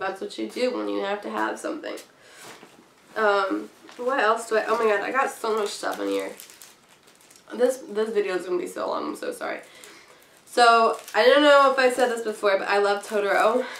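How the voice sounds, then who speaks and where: With audible room echo and noticeable background noise, a woman speaks at a moderate pace, leaving long, frequent pauses. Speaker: cross stitch vlogger. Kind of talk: casual chat. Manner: animated.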